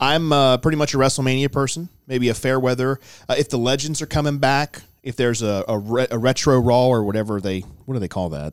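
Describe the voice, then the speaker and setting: An ordinary speaking voice from a man at medium pitch, with ordinary pitch variation, a fairly quick pace, and a very clean recording with a silent background. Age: 30s. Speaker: wrestling podcast co-host. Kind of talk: casual chat.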